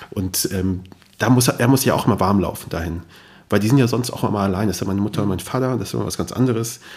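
Very fast speech from a man, fairly low in pitch and with ordinary pitch variation. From Germany, Kassel (Hesse). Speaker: podcaster and journalist. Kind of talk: interview conversation.

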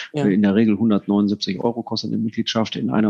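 In an ordinary speaking voice, a man talks at a moderate pace with fairly low pitch and fairly even intonation. The sound is dry and close, with no echo. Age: 50s. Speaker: company executive. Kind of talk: interview.

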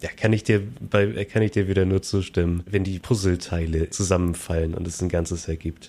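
Moderate pace and fairly even intonation from a man, his pitch very deep and low, his tone dark and mellow. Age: 30s. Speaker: podcast host, software developer. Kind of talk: casual chat.

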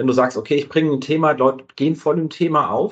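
In a plain, everyday voice, a man with a fairly high pitch speaks at a fairly quick pace, with ordinary pitch variation. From southern Hesse. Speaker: podcast host. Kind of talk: casual interview.

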